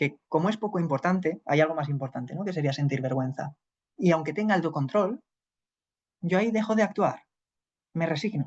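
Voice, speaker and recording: A man's high voice with a Spanish accent, fairly quick in pace but broken by long, frequent pauses, with ordinary pitch variation. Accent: Peninsular Spanish. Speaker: psychologist teaching a class. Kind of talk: lecture.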